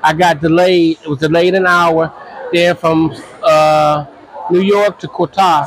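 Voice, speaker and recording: There is noticeable background noise as a man with an American accent and high pitch speaks at a fairly slow pace. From US Midwest, Cleveland, Ohio. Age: 60s. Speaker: traveler, former mental health worker. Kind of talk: casual interview. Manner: halting.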